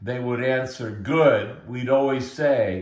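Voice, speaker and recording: In an American accent, a man speaks at a very slow pace and medium pitch, somewhat breathy, with audible room echo. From US Pacific Northwest, Portland, Oregon. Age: 70s. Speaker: interviewee telling his life story. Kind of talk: oral history interview.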